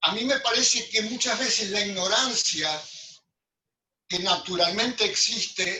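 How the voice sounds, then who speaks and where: The voice is raised and projected, moving at a fairly slow pace. Its pitch varies in an ordinary way. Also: man. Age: 80s+. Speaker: architect. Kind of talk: group discussion. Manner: halting, many repetitions.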